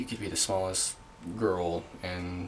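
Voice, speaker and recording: A monotone, flat intonation comes through over noticeable background noise. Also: man. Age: 20s. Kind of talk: casual talk to camera. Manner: hesitant, halting.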